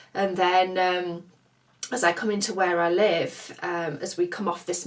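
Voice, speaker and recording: With a northern English accent, a woman speaks at a moderate pace in a fairly low pitch and fairly even intonation, with noticeable background noise. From northern England. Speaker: craft vlogger. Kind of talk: casual chat.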